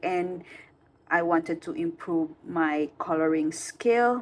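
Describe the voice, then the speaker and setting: This woman speaks with a non-native accent. Her pitch sits fairly low for a woman. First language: not English. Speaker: coloring hobby youtuber. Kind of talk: casual vlog talk. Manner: halting, many fillers.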